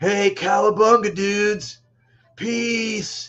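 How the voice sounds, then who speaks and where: A man puts on a character voice, talking very slowly at a high pitch. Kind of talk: laid-back surfer slang. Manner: laid-back and cheerful.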